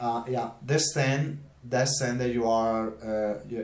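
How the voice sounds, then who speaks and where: A man with a non-native accent at a fairly slow pace, with audible room echo. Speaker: YouTuber, political and theology commentator. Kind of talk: casual vlog monologue. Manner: halting, many fillers and repetitions.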